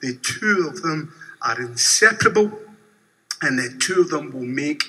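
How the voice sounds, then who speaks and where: In a Glaswegian accent, a man talks at a fairly slow pace with lively intonation. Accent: Glaswegian Scottish. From Scotland, Glasgow. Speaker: bank customer and protester. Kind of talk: shareholder meeting statement. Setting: convention hall meeting. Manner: formal. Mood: earnest, measured protest. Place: hall. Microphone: podium.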